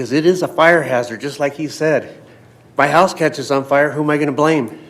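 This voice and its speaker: Background noise is clearly audible as a man with a fairly high voice speaks at a medium tempo. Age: 60s. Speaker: public commenter. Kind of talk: public comment at council meeting.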